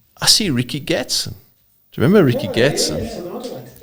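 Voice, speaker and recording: A man speaks with a South African accent. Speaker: drag racer. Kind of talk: casual chat.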